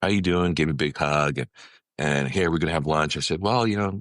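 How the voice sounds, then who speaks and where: A man at a very fast pace, very deep and low in pitch, with vocal fry. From California, US. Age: 60s. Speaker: ministry leader and consultant. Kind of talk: testimony. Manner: frequent fillers and restarts.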